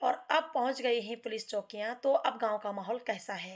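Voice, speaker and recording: A woman speaks with a Garhwali accent. Her fairly high pitch has ordinary pitch variation. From Uttarakhand, Garhwal region. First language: Garhwali (speaking Hindi). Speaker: social commentator and poet. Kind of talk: speech to camera on social issues. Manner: earnest, declamatory.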